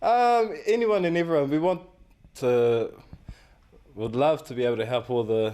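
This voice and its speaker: Pausing long and often, a man with a New Zealand accent talks at a moderate pace in a fairly high voice with very wide pitch swings. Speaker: community event organiser. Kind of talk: tv interview. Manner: halting, many fillers.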